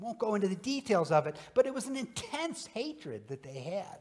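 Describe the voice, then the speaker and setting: Very wide swings in pitch from a male speaker. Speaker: minister preaching. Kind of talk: sermon. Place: church. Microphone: podium.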